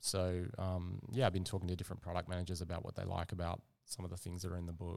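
A man with an Australian accent speaks at a very fast pace in a very deep, low, monotone, flat voice, in a very clean recording with a silent background. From Western Australia, Perth. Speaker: product manager. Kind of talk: casual interview. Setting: cafe.

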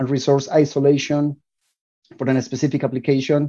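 A man with a Spanish accent and a fairly high, dark, mellow voice. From Colombia. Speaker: DevOps engineer. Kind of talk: interview. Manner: hesitant with fillers.

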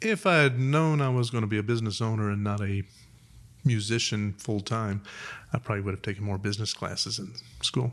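At a fairly quick pace, a man speaks in a normal speaking voice with an American accent and ordinary pitch variation. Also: fairly low pitch for a man. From Huntsville, Alabama (US South). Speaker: music shop co-owner and musician. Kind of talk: interview conversation.

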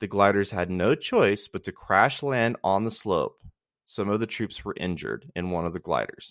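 In a plain, everyday voice, a man speaks at a moderate pace with a fairly low pitch and ordinary pitch variation, the sound dry and close with no echo against a quiet background. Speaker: podcast host. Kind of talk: reading aloud a history write-up. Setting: solo home recording. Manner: measured, steady narration with a storyteller's cadence.

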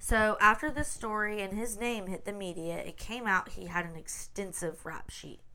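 Speaking with a Southern US accent, a woman with a medium pitch and a bright, sharp tone keeps a moderate pace with hardly any pauses, ordinary pitch variation and big swings in loudness. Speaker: podcast host. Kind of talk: casual chat. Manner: chatty, upbeat.

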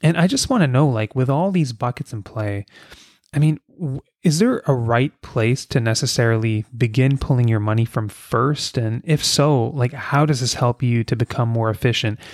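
A man talks at a moderate pace with a medium pitch. His pitch varies in an ordinary way, and the sound is dry and close with no echo. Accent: Canadian. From Ontario, Canada (Kingston). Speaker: podcast host. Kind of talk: interview conversation. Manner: animated.

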